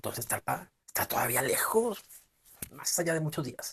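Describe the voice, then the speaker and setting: A man with a northern Mexican accent and lively intonation, in a dry, close sound with no echo. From northern Mexico. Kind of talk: short story reading. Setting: amateur home recording. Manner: expressive, in character.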